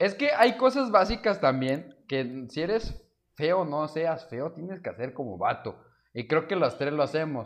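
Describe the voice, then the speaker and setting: Fairly slow and fairly high-pitched, a man's voice moves through very wide pitch swings. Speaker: podcast co-host. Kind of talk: casual chat.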